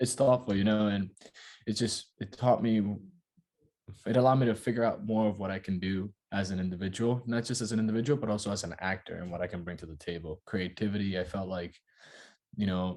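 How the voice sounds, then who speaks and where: A man speaks very fast with a Dominican accent. His pitch is fairly low, with ordinary variation. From Dominican Republic. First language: Spanish. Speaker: actor. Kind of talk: interview. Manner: casual, filler-heavy.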